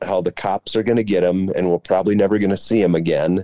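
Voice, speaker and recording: A man speaks in an Upper Midwest accent. His fairly low voice has a dark, mellow tone. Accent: Upper Midwest American. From Central Minnesota. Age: 40s. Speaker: former college baseball player, teacher. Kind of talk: casual chat.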